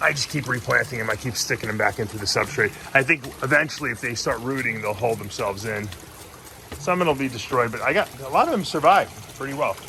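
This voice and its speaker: Over noticeable background noise, a man speaks very fast at a medium pitch with lively intonation. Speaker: aquarium hobbyist vlogger. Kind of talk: casual vlog narration. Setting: outdoors.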